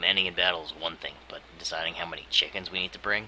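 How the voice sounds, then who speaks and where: In a raspy, put-on character voice, someone rattles along at a very fast pace. Background noise is clearly heard. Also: man, very deep, low pitch for a man. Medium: game stream.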